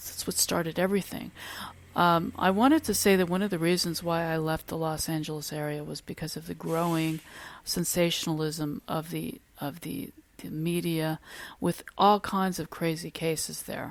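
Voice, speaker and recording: Recorded very cleanly with a silent background, a woman speaks at a moderate pace in a fairly low pitch. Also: fairly even intonation. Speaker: podcaster. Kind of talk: podcast monologue. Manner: halting, many fillers; louder than her earlier recording.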